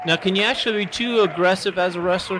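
With noticeable background noise, a man talks at a very fast pace in a high pitch. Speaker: swimming instructor, color commentator. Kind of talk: live sports commentary, color analysis. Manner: casual, curious, hesitant with fillers. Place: hall.

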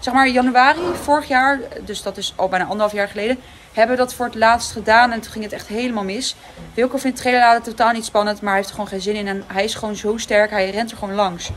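Against light background noise, a woman speaks at a very fast pace with fairly even intonation. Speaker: horse rider vlogger. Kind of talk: casual vlog chat. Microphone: phone near.

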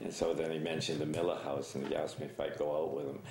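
Light background noise and audible room echo around a male speaker. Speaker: interviewee. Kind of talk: interview answer, storytelling. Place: office.

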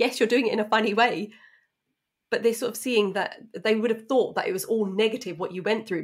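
The speaker talks at a fairly quick pace with a British accent. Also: woman, fairly high pitch for a woman. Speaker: podcast host. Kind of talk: casual interview chat. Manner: excitable.

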